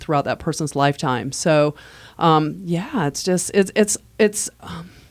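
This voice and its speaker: At a fairly slow pace, a woman speaks with vocal fry at a very deep, low pitch and ordinary pitch variation on a very clean recording over a silent background. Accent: American. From US Midwest. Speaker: manual therapist. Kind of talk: podcast interview.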